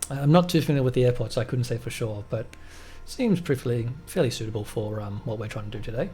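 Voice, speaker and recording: Over music in the background, a man with a medium-pitched voice talks at a very fast pace with ordinary pitch variation. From Australia, Melbourne. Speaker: flight sim gamer. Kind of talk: gameplay commentary. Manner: casual, many fillers.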